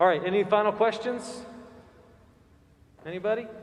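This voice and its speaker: A man in an American accent at a moderate pace, with audible room echo. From central Florida. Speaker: priest. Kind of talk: Q&A with congregation. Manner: casual, hesitant with fillers.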